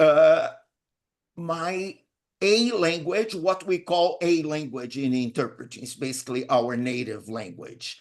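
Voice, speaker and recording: With a Portuguese accent, a man speaks at a fairly slow pace in a fairly high pitch. His intonation is lively and his loudness swings widely. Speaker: interpreting instructor. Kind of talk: webinar self-introduction.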